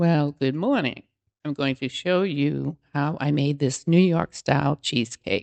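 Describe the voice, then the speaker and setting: With a Massachusetts accent, a woman speaks at a very deep, low pitch that varies in an ordinary way. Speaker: home cooking channel creator. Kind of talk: cooking tutorial. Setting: home kitchen. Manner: casual, hesitant with fillers.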